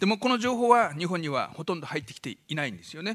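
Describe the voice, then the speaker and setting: Against a quiet background, a man talks at a fairly quick pace. His tone is bright and sharp, with ordinary pitch variation. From Fukushima, Japan. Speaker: doctor giving a public lecture. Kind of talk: lecture. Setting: stage with audience. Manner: fast talker. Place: hall. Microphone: podium.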